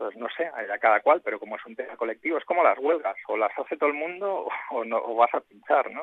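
Speaking at a very fast pace, a man uses a fairly high pitch, lively intonation and big swings in loudness. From Spain, Barcelona. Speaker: writer and IT professional. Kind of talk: interview.

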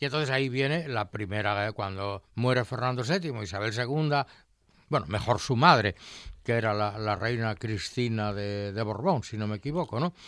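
Captured with total silence behind it and very clean sound, the voice keeps a middling tempo and a normal amount of rise and fall in pitch. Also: man, medium pitch for a man. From Asturias, Spain (Colunga). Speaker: retired science teacher and food historian. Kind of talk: casual chat. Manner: animated.

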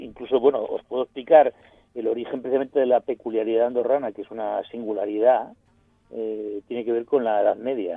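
Music plays in the background as a man talks fairly quickly at medium pitch. His intonation is fairly even, while his loudness swings a lot. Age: 50s. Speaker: teacher and panel commentator. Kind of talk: radio panel discussion.

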